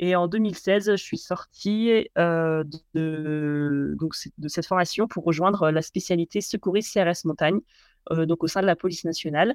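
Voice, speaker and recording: Captured in a very clean, dry, close recording with a silent background and no echo, the voice moves at a fairly slow pace with ordinary pitch variation. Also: woman, fairly low pitch for a woman. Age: 30s. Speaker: mountain rescuer and former soldier. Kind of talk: interview. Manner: halting, many fillers and repetitions.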